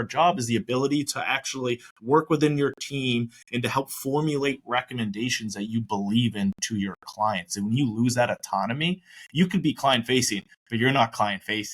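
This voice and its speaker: With an American accent, a man talks at a fairly quick pace in an unremarkable speaking voice, medium in pitch, with lively intonation. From Maine, US. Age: 30s. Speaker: retirement plan advisor. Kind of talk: podcast interview.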